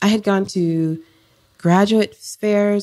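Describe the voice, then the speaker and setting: The sound is dry and close, with no echo. A woman speaks in a dark, mellow tone with fairly even intonation. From Florida and Jamaica. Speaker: psychotherapist. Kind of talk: podcast interview. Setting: in person. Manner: soft-spoken.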